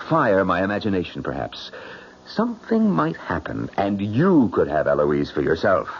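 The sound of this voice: A man's put-on character voice, low in pitch, very wide pitch swings, moderate pace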